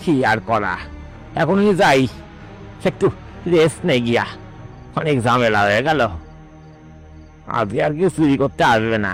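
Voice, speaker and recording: Clear music plays in the background as a man performs a cartoonish character voice. He keeps a moderate pace at a medium pitch. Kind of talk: comic spooky cartoon voice. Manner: mocking, sprinkles English words.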